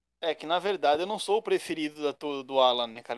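Heard dry and close with no echo, a man in a plain, everyday voice speaks with lively intonation at a fairly high pitch. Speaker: podcast co-host commentator and kart driver. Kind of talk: casual banter.

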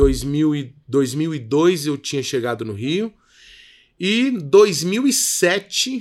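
A man is speaking. His pitch swings very widely. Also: very clean recording, silent background. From Rio de Janeiro suburbs, Brazil; moved to Minas Gerais at 13. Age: 30s. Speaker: creative consultant and entrepreneur. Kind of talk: interview.

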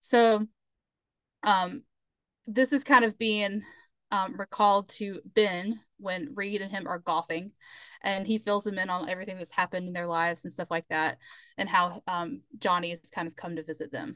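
A woman with a Southern US accent speaks at a medium pitch and moderate pace with ordinary pitch variation and big swings in loudness, the sound dry and close with no echo against a quiet background. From US South, South Carolina. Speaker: museum curator, podcast guest. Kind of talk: casual chat.

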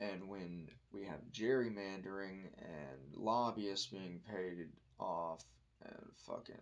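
Speaking at a very slow pace, a man with a very deep, low voice shows big swings in loudness. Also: ordinary pitch variation. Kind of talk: casual monologue. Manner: rambling, halting with fillers.

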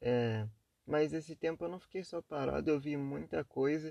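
A quiet man's voice, dry and close with no echo. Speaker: podcaster. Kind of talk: casual monologue. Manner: quiet, low energy.

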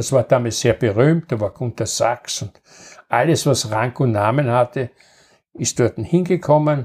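The speaker has a Viennese accent and a somewhat breathy voice, moving at a fairly slow pace with ordinary pitch variation. The recording is very clean, with a silent background and a dry, close sound with no echo. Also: man, medium pitch for a man. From Vienna, Austria. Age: 80s+. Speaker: grandfather recounting wartime childhood. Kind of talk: storytelling interview.

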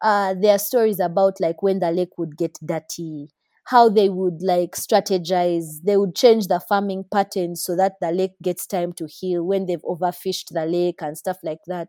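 In a dry, close recording that is very clean with a silent background, a woman with a dark, mellow tone speaks at a medium pitch and moderate pace, with fairly even intonation and hardly any pauses. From Uganda. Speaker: civil and environmental engineer. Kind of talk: casual chat.

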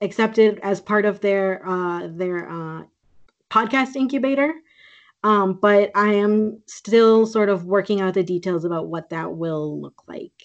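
In an American accent and a normal speaking voice, a woman talks at a fairly slow pace with medium pitch and ordinary pitch variation. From US Midwest, Green Bay, Wisconsin. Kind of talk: casual interview.

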